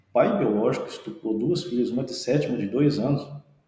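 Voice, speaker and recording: Audible room echo surrounds the recording. A man with a medium-pitched voice speaks at a moderate pace. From interior of São Paulo state, Brazil. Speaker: forensic medical examiner and orthopedist. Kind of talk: podcast interview.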